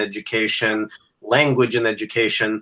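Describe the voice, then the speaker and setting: Bright, sharp male voice at a moderate pace. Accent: Greek. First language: Greek. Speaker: academic educator. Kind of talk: casual chat.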